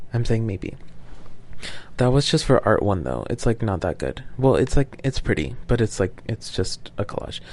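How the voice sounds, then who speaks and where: Speaking at a moderate pace with lively intonation, a man with a medium pitch shows vocal fry. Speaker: podcaster. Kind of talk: casual monologue. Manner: rambling with many fillers.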